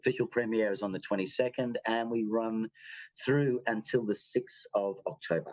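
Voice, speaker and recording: Someone with an Australian accent talks at a fairly quick pace against a quiet background. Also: man. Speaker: circus show artistic director. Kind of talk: interview. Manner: halting.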